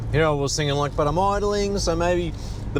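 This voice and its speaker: Someone with an Australian accent talks at a fairly quick pace. Room echo is audible, and there is noticeable background noise. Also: man. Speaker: car enthusiast vlogger. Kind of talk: casual vlog narration. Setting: in a car with windows down.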